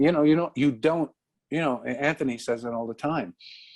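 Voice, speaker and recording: A voice at a moderate pace with lively intonation, dry and close with no echo, on a very clean recording with a silent background. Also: man. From New York, the Bronx. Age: 60s. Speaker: comedian and radio host. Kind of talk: interview. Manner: halting, many fillers and repeats.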